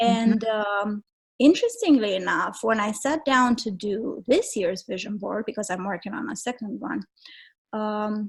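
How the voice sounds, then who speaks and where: A somewhat breathy voice with a Romanian accent at a fairly slow pace, on a very clean recording with a silent background. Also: woman, fairly high pitch for a woman, ordinary pitch variation. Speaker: travel writer and photographer. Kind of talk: interview. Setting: podcast.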